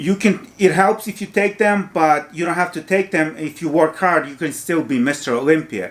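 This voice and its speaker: A man with a Ukrainian accent at a moderate pace. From Ukraine. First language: Ukrainian or Russian. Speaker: fitness youtuber. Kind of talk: casual monologue.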